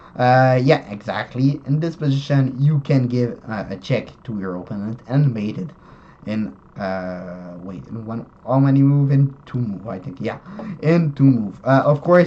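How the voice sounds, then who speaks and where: A non-native accent at a fairly slow pace, with big swings in loudness and noticeable background noise. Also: man, medium pitch for a man. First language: not English. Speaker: chess YouTuber. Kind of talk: tutorial. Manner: halting, many fillers and self-corrections.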